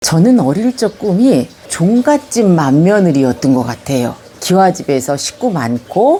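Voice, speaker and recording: Very slow speech with very wide pitch swings over noticeable background noise. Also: woman. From Gyeonggi Province, Yongin (South Korea). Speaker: senior recounting her life story. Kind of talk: autobiographical storytelling to camera. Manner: conversational, reflective.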